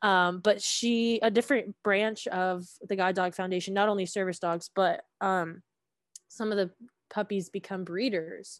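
A plain, everyday voice with an American accent comes at a fairly slow pace and fairly even intonation, with a dry, close sound, no echo, and a quiet background. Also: woman, medium pitch for a woman. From Georgia, US South (Gwinnett County). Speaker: music education graduate. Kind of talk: casual chat.

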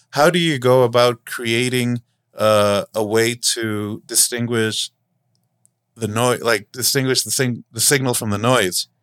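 A man's normal speaking voice at a fairly slow pace, with a dry, close sound and no echo. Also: medium pitch for a man, fairly even intonation. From Los Angeles. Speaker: podcast host. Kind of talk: casual chat. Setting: remote call.

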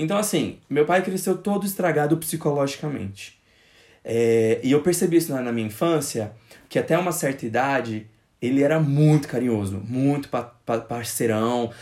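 A man's normal speaking voice, fairly high and lively in intonation, at a moderate pace on a very clean recording with a silent background. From Brazil, Goiás interior (born in Brasília). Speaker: podcast host. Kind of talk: casual chat.

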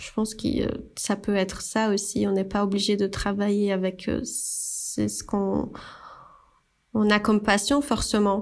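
A woman's medium-pitched voice at a very slow pace, flat and monotone. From Brazil. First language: Portuguese (speaking French). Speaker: graphic designer and brand founder. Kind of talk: casual chat. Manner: halting.

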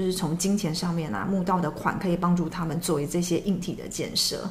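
In a room with audible echo, a woman speaks at a moderate pace in a fairly low pitch, somewhat breathy, with fairly even intonation. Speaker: former flight attendant. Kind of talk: casual chat.

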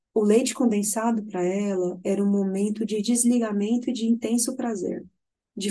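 A woman's somewhat breathy, dark, mellow voice, fairly high in pitch, with fairly even intonation and a moderate pace. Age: 30s. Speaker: nutritionist. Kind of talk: casual interview chat.

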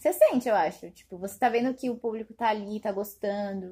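A somewhat breathy, dark, mellow voice with ordinary pitch variation. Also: woman. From Brazil, Diadema (São Paulo region). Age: 20s. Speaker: fashion business graduate, clothing brand owner. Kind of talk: casual chat.

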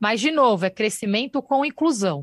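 This is a woman with a normal speaking voice and lively intonation. She talks at a moderate pace on a very clean recording with a silent background. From Brazil, São Paulo (Campo Limpo). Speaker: state government secretary. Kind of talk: radio interview. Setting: live broadcast.

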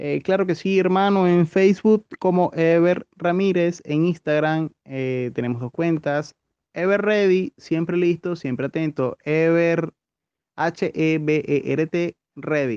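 Speaking at a very slow pace, a man with a Venezuelan accent has a high pitch and ordinary pitch variation. The sound is dry and close, with no echo. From Venezuela, Caracas. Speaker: podcast co-host, activist. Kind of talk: casual chat.

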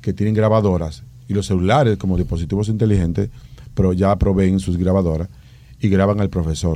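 A man's very deep, low voice with a dark, mellow tone and ordinary pitch variation. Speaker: education specialist. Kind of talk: radio interview.

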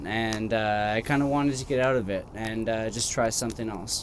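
There is audible room echo as a man with a Canadian accent talks at a moderate pace with ordinary pitch variation. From Canada. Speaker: former figure skater. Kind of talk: casual chat. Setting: outdoors.

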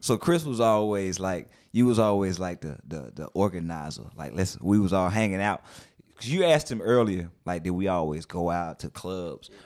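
A man with a very deep, low pitch speaks with lively intonation. The recording is very clean, with a silent background. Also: moderate pace, big swings in loudness. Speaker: podcast host. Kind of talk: casual chat.

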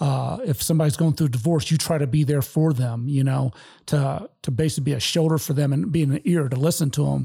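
At a fairly quick pace, a man with an American accent speaks in a fairly high, somewhat breathy voice with a dark, mellow tone and very even loudness. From Detroit, Michigan. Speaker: military veteran. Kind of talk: casual chat.

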